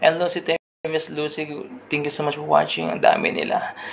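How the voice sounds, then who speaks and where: The voice sounds strained, with noticeable background noise. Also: man. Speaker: radio host turned livestream storyteller. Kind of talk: live stream chat and story reading. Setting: indoor room with neighbours next door. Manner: deliberately restrained volume.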